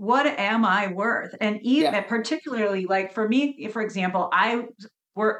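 An unremarkable speaking voice from a woman, fairly slow, with ordinary pitch variation. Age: 50s. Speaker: health coach. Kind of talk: casual chat.

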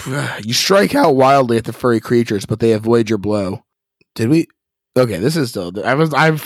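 Quiet background, a natural reading voice

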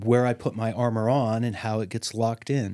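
An unremarkable speaking voice from a man at medium pitch, moving at a moderate pace, sounding dry and close with no echo on a very clean recording with a silent background. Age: 60s. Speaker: therapist. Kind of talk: podcast interview.

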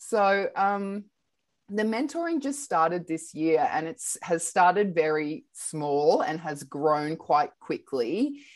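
A woman with an Australian accent speaks at a very slow pace. Her pitch swings very widely over a quiet background. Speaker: radio host and art mentor. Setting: video call.

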